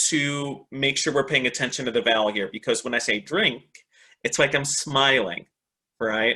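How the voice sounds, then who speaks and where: This man has a medium pitch and a bright, sharp tone, speaking at a moderate pace with an American accent. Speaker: English teacher trainer, webinar presenter. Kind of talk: online teaching webinar. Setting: online webinar. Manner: animated.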